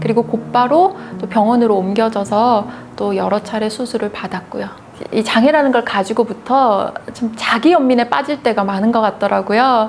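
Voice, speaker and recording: A woman's fairly high voice at a moderate pace, with ordinary pitch variation, over music in the background. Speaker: news anchor. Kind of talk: interview. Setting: seated in wheelchair.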